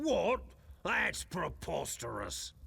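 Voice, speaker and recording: The voice is a raspy, put-on character voice. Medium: video game. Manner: earnest, wry.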